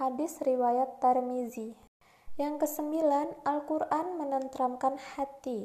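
Her pitch is high for a woman, and she talks at a very slow pace with fairly even intonation. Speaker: university student. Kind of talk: student presentation reading aloud. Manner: formal.

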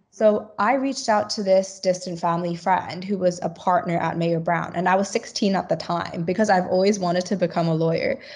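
Against a quiet background, a woman with a medium pitch speaks fairly quickly and somewhat breathily, her intonation fairly even. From Hong Kong. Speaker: law graduate trainee. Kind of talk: interview.

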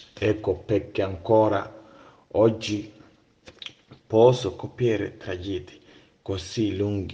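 In a Ghanaian accent, a man with a fairly low voice speaks very slowly, with fairly even intonation and long, frequent pauses. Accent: Ghanaian-accented Italian and English. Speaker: storyteller. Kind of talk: storytelling. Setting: remote voice recording. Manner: halting.

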